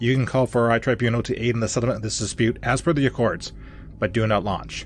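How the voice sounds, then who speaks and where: A man puts on a robotic character voice at a medium pitch and a very fast pace. Clear background noise can be heard. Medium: read story. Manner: terse, cold.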